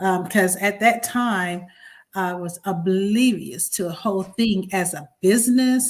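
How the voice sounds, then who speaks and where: In a very clean recording with a silent background, a woman with an American accent sounds somewhat breathy. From US South, rural North Carolina. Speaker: event planner. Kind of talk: interview. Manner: halting.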